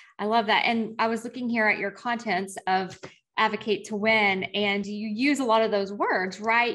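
This woman has an ordinary speaking voice. Her pitch sits in the medium range. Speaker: podcast host. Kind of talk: interview conversation. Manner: warm, upbeat.

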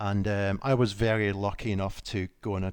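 The speaker talks in a Scottish accent with monotone, flat intonation. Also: man. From Scotland. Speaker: medic and founder of a medical equipment company. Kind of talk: casual interview. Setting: video call.

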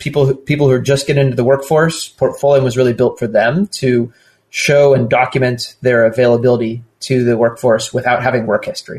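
Somewhat breathy, a man talks with an American accent at a moderate pace. His pitch is medium and his intonation fairly even. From Southern California. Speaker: startup founder and venture investor. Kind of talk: casual interview conversation.

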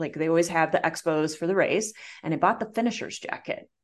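Her voice is a plain, everyday voice. The woman uses lively intonation at a fairly low pitch. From US Midwest. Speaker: coach and entrepreneur, marathon runner. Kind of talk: interview, personal story.

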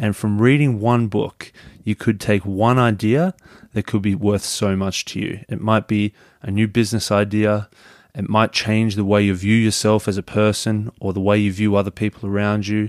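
In a very clean recording with a silent background, a man with an Australian accent speaks at a fairly low pitch and a moderate pace, with fairly even intonation and a dry, close sound with no echo. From Melbourne, Australia. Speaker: podcaster. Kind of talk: scripted podcast promo.

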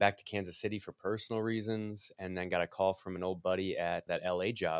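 Speaking at a very fast pace with a Midwestern American accent, a man keeps his intonation fairly even in a very clean recording with a silent background. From US Midwest. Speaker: microphone company representative. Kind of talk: interview.

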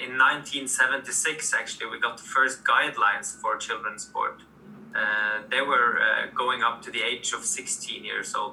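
This man speaks at a fairly slow pace with a Norwegian accent, his loudness swinging widely. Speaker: sports administrator. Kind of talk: interview.

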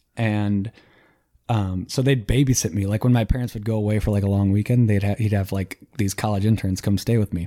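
Dark, mellow tone with an American accent, fairly even intonation and a fairly quick pace, in a dry, close sound with no echo and a very clean, silent background. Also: man, fairly low pitch for a man. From South Dakota (Sioux Falls), later Michigan. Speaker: podcast guest. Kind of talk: casual chat.

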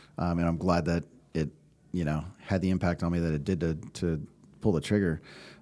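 In an American accent, the speaker keeps a monotone, flat intonation and very even loudness, with long, frequent pauses. The recording is very clean, with a silent background. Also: man, very deep, low pitch for a man. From US West Coast, California Bay Area. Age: 40s. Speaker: podcast producer, Marine veteran. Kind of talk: casual interview. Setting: studio.

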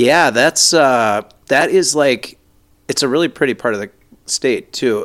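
An unremarkable speaking voice talks at a fairly slow pace with ordinary pitch variation in a very clean recording with a silent background. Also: man, medium pitch for a man. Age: 40s. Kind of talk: casual chat. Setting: studio.

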